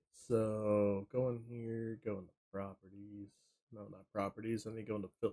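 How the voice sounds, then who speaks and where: A man with a fairly low pitch and a dark, mellow tone speaks in a monotone, flat intonation, his loudness swinging widely. The sound is dry and close, with no echo. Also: moderate pace. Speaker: gaming streamer. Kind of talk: live game stream chat. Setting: home streaming setup with green screen. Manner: casual.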